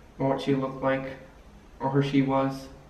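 Audible room echo colors speech delivered at a moderate pace. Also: man. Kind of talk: comedy sketch dialogue. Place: home room. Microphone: camera far.

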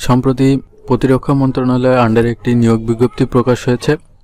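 Intonation stays monotone and flat as a man speaks at medium pitch. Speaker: job news YouTuber. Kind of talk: informational video explainer.

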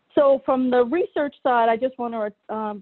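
A woman's voice with ordinary pitch variation over a quiet background. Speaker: speaker. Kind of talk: lecture. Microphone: video call.

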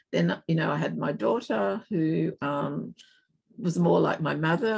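A woman talks at a moderate pace with an Australian accent. The background is quiet. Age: 70s. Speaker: keynote guest. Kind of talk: interview conversation. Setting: video call. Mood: reflective, candid. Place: home room. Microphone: video call.

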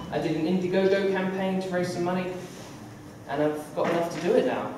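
With noticeable background noise and audible room echo, a man talks at a high pitch in a monotone, flat intonation. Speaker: comic artist giving a school talk. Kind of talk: informal talk to an audience. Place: hall. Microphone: camera far.

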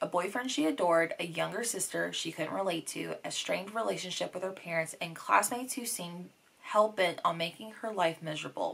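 Her pitch varies in an ordinary way as the woman speaks at a fairly quick pace. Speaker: book vlogger. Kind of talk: casual vlog chat. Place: home room.

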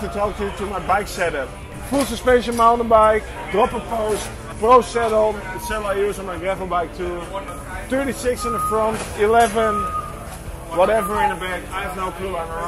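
Clear music plays in the background as a man talks with long, frequent pauses. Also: moderate pace. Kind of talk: casual vlog chat. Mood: joking, playful. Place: tent. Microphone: phone near.

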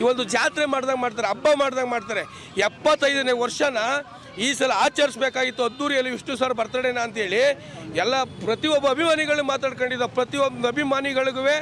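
Over crowd noise in the background, a man speaks in an animated tone at an extremely high pitch. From Karnataka, Mandya. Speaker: fan protester. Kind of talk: media interview at protest.

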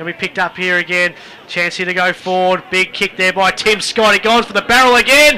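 In an Australian accent, a man with a high pitch uses a raised, projected voice at a fairly quick pace with ordinary pitch variation, over noticeable background noise. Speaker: football commentator. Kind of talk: live sports commentary of an Australian rules football match. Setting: radio broadcast from a football ground.

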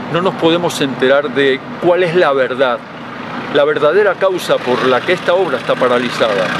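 Noticeable background noise surrounds a man speaking at a moderate pace. His loudness stays very even, and the sound is dry with no echo. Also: ordinary pitch variation. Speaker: street reporter or activist. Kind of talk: on-location appeal to camera, denunciation. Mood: indignant, insistent. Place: street. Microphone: handheld.

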